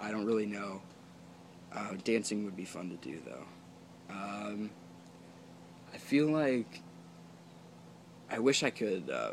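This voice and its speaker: Heard with audible room echo, a fairly low-pitched man speaks at a very slow pace with long, frequent pauses, lively intonation and big swings in loudness. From Canada. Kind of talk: casual vlog monologue. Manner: rambling with many fillers; sounds nervous to viewers.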